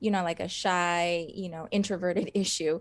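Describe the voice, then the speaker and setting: Speech comes at a moderate speed in an American accent. Intonation is fairly even throughout. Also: woman. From US West Coast, Los Angeles. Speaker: actress and stunt performer. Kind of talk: interview. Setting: live stream interview.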